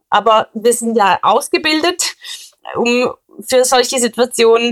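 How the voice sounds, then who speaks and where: Recorded with a dry, close sound and no echo, a woman speaks in a fairly high pitch with lively intonation. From Switzerland. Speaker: police officer. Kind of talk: interview. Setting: recorded at home.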